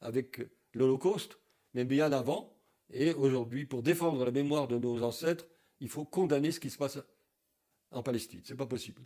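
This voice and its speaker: A man speaks at a moderate pace in a fairly high voice with a dark, mellow tone. His loudness swings widely, and he takes long, frequent pauses. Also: ordinary pitch variation. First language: German (speaking French). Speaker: Holocaust survivor, activist. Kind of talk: interview.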